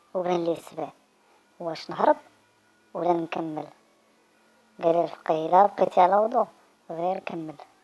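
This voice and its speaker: A woman with a Moroccan accent speaks at a moderate pace and a fairly low pitch. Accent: Moroccan Arabic (Darija). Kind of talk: joke telling.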